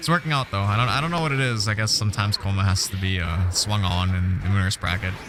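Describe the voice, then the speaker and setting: Over noticeable background noise, a man with a fairly low pitch rattles along at a very fast pace with hardly any pauses, very even loudness and lively intonation. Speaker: fighting game tournament commentator. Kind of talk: live esports commentary. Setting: live stream. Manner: animated.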